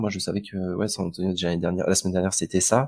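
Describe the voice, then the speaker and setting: On a very clean recording with a silent background, a man with a Breton accent speaks in a very deep, low pitch. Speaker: fantasy basketball podcast co-host. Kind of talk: casual podcast chat. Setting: live stream.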